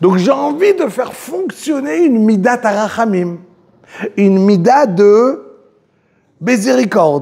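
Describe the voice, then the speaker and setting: A man's high-pitched voice moves through very wide pitch swings. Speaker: religious teacher. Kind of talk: religious lecture. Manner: slow, repetitive.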